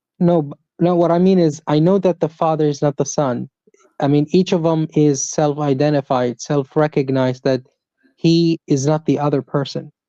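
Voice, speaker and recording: With an Arabic accent, a woman talks at a moderate pace in a very deep, low pitch and a dark, mellow tone, her intonation fairly even and the sound dry and close with no echo. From Saudi Arabia. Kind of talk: religious debate. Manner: hesitant, with fillers.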